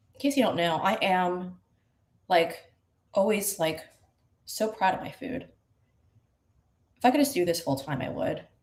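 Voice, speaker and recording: A woman with an American accent speaks at a moderate pace and medium pitch, her voice somewhat breathy. Her pitch swings very widely, and she leaves long, frequent pauses. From New York. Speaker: online show host. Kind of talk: casual live-stream cooking chat. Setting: kitchen at an Airbnb. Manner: casual, chatty. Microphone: poor stream signal.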